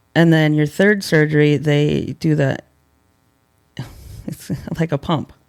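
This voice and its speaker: A man's fairly high voice at a fairly slow pace, with fairly even intonation, long, frequent pauses and a dry, close sound with no echo. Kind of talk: casual podcast interview.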